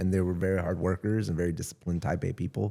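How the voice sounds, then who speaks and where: A man with a Southern Californian accent speaks in a very deep, low pitch with a dark, mellow tone and fairly even intonation. The recording is very clean, with a silent background. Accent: Southern Californian American. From US West Coast (San Gabriel Valley, Los Angeles). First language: Spanish. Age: 40s. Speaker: content creator. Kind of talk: casual chat.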